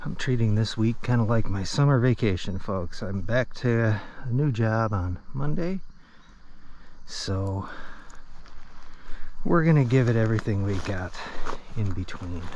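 In a dry sound with no echo, a man speaks at a fairly slow pace with lively intonation and long, frequent pauses. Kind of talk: casual vlog chat. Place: waterside. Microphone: phone near.

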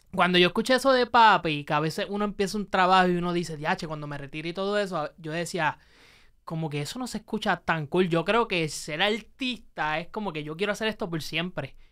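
A man with a high voice and a bright, sharp tone speaks against a quiet background. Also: ordinary pitch variation, fairly quick pace. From Puerto Rico. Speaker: podcast host. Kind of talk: casual interview. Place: studio. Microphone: studio mic.

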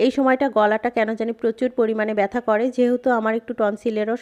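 In a dry, close recording with no echo and a quiet background, a woman speaks in a fairly high pitch with monotone, flat intonation. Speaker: vlogger and shopkeeper. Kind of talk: casual vlog narration.

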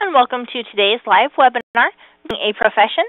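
A woman at a fairly quick pace, dry sound with no echo, quiet background. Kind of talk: scripted announcement. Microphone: phone line.

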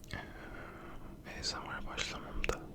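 The speech is whispered. Background noise is noticeable. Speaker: ASMR content creator. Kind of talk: casual talk to camera, chatty ASMR video. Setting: home at night, quiet recording. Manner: whispered, soft-spoken.

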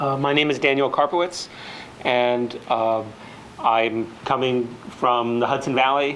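A man's monotone, flat voice over light background noise. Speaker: panel moderator. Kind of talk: public talk introduction. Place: hall.

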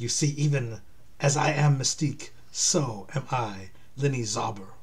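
Putting on a character voice in a German accent, a man speaks at a medium pitch over noticeable background noise. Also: moderate pace.

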